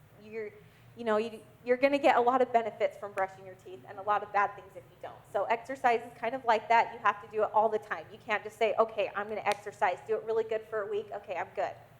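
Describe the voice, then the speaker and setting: A woman's very fast speech at a fairly high pitch, with fairly even intonation and big swings in loudness. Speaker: exercise specialist giving workplace wellness talk. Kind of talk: lecture.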